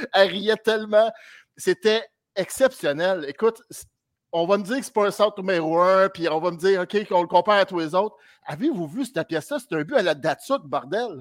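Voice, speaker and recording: A man with a high voice speaks at a fairly quick pace in an animated tone, his pitch moving in an ordinary way, on a very clean recording with a silent background and a dry, close sound with no echo. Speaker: hockey fan caller. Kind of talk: casual chat.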